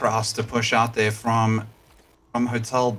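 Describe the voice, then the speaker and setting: Over noticeable background noise, a man with a non-native accent speaks at a medium pitch in a monotone, flat intonation. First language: not English. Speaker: esports caster. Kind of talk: live commentary.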